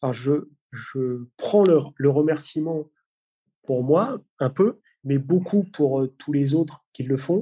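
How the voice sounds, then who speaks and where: At a very slow pace, a man speaks with a somewhat breathy voice, fairly high pitch, and ordinary pitch variation. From Brittany, France. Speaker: police tactical unit commander. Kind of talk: interview.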